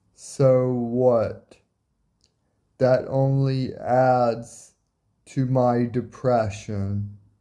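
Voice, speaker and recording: In a dark, mellow tone, a man speaks at a very slow pace with monotone, flat intonation, long, frequent pauses and audible room echo. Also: medium pitch for a man. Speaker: vlogger. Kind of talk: personal monologue.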